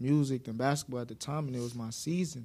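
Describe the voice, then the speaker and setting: Dark and mellow in tone, the voice speaks with an American accent. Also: man. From Brooklyn, New York. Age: young. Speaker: rapper. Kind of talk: interview. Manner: laid-back.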